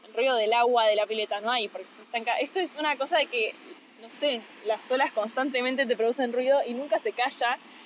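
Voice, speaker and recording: Over noticeable background noise, a woman talks fairly quickly in a high pitch with ordinary pitch variation. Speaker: podcast co-host. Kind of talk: casual chat. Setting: on the beach, phone recorder.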